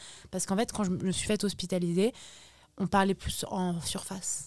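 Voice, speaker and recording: A woman speaks at a moderate pace and medium pitch with ordinary pitch variation on a very clean recording with a silent background. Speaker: social media influencer. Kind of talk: podcast interview. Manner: loud; halting.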